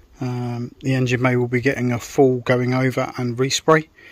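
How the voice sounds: A man speaks at a moderate pace in a medium pitch. His intonation stays monotone and flat.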